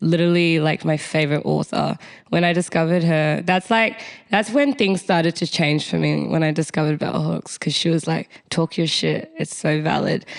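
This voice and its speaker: A woman speaks with an Australian accent. Her loudness stays very even. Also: moderate pace. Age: 20s. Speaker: fashion model. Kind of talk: casual chat. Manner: animated.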